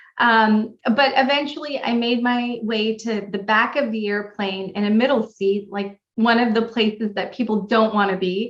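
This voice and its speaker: A woman's fairly high voice in a Californian accent, at a moderate pace with fairly even intonation. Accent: Californian American. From California, US. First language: Pashto. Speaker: pilot and non-profit founder. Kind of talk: interview.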